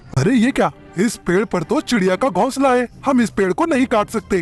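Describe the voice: Faint music plays in the background as a man does a cartoonish character voice. It is high-pitched for a man and comes at a fairly quick pace.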